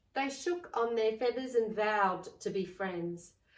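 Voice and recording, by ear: At a fairly slow pace, a woman speaks in a medium pitch with audible room echo. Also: ordinary pitch variation.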